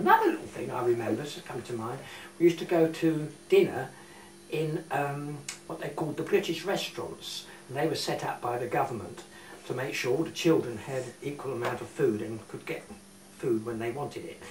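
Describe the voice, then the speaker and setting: A fairly high-pitched man at a fairly quick pace with ordinary pitch variation and big swings in loudness, amid audible room echo and noticeable background noise. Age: 70s. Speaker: war evacuee recalling childhood. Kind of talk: interview. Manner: halting.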